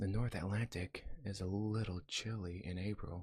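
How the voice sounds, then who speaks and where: A man speaks softly with a fairly low pitch and a gentle tone. His voice is somewhat breathy, and his intonation stays fairly even. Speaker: ASMR reader / YouTube channel host. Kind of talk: first-person comedic story narration. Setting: binaural microphone recording. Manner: soft-spoken, gentle.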